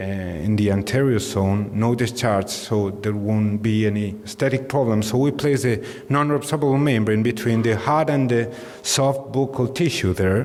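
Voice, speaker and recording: With a Spanish accent, a man talks at a moderate pace and medium pitch, with ordinary pitch variation and very even loudness, over noticeable background noise and audible room echo. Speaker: dentist. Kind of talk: lecture. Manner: halting.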